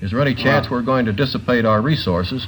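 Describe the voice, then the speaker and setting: In an American accent, a man talks at a very fast pace with lively intonation and a medium pitch. Noticeable background noise runs underneath. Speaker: NBC commentator, panel journalist. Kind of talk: television interviewer question.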